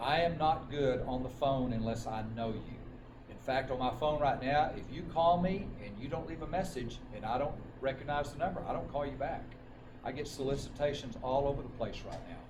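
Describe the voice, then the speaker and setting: With an American accent, a man speaks at a fairly quick pace in a fairly high pitch, with noticeable background noise and audible room echo. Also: ordinary pitch variation. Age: 60s. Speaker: life insurance agent. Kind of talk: motivational talk at a sales meeting.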